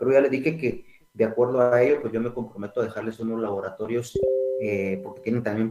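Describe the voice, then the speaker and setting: Racing at a very fast pace, a man speaks with medium pitch and fairly even intonation. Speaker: accounting lecturer. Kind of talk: online lecture. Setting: online class from home. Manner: soft-spoken. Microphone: too quiet.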